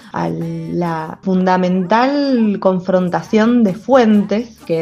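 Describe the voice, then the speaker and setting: With music in the background, a woman speaks at a medium pitch with ordinary pitch variation. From Mendoza, Argentina. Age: 30s. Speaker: historian and researcher. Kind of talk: personal testimony and explanation.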